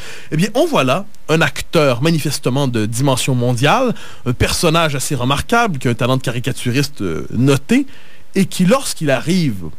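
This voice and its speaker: A man talks with lively intonation in a fairly high voice. Noticeable background noise and audible room echo surround him. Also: moderate pace. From Quebec, north shore of Montreal. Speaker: political commentator. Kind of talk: radio interview.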